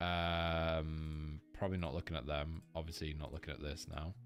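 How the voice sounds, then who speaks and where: At a moderate pace, a man with a British accent talks in a very deep, low voice. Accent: British, noticeable. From Manchester, England. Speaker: forex trader. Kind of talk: live-stream market analysis. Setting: live stream. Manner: casual, rambling with fillers.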